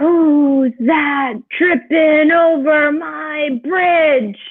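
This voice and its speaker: A woman bellows in a put-on character voice with a menacing tone and a high pitch. She speaks at a very slow pace. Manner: roaring, menacing.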